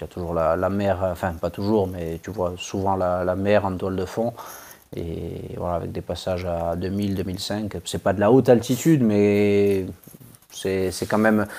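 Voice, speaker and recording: A man's very deep, low voice, dark and mellow in tone, at a fairly slow pace with fairly even intonation, on a very clean recording with a silent background. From Corsica. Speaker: ultra-trail runner. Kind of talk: interview.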